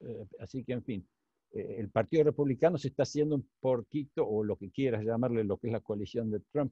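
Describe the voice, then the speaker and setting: This man has a medium pitch with ordinary pitch variation. His voice is somewhat breathy. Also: fairly quick pace. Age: 60s. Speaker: economist. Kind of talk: interview Q&A. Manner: halting, many fillers.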